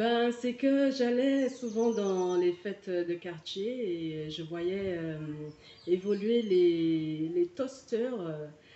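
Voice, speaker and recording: A woman's very slow, lively-intoned speech over noticeable background noise. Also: medium pitch for a woman. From Martinique. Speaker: singer. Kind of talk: interview. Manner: hesitant.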